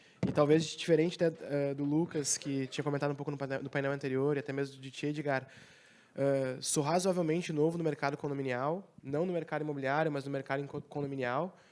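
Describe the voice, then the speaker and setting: Delivered at a very fast pace in a monotone, flat intonation, the speech is on a very clean recording with a silent background. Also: man, fairly high pitch for a man. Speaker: real estate company director. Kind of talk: panel discussion. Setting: stage with audience.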